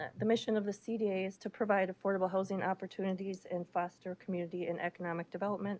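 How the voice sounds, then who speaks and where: Hardly pausing, a woman talks at a very fast pace with monotone, flat intonation at a medium pitch, in a dry, close sound with no echo. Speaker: county agency deputy director. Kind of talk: public meeting presentation. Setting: county board meeting. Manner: formal.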